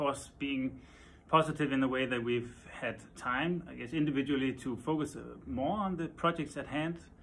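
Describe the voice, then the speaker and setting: Over light background noise, a man with a Danish accent talks at a moderate pace in a fairly high voice with ordinary pitch variation. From Denmark. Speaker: furniture designer. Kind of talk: interview. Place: office. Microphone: phone near.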